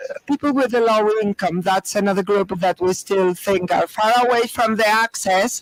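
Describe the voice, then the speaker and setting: A man with a high pitch speaks at a moderate pace with hardly any pauses against noticeable background noise. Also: fairly even intonation, dry, close sound with no echo. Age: 60s. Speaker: panel speaker. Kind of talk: panel discussion.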